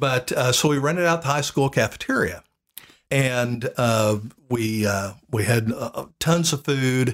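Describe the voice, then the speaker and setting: A man with an American accent talks at a fairly slow pace, his medium pitch showing ordinary variation. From Oklahoma, Tulsa area. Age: 60s. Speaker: church sound system salesman, former youth minister. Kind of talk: casual interview, personal storytelling. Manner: hesitant, many fillers.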